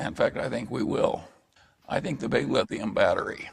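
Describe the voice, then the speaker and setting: A man at a moderate pace. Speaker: investor. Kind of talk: interview answer.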